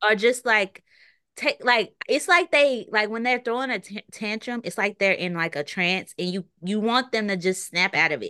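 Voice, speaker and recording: Against a quiet background, a woman speaks in a bright, sharp tone at a fairly high pitch. Her intonation is lively and her pace moderate. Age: 20s. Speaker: photographer and content creator. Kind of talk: casual chat. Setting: podcast interview.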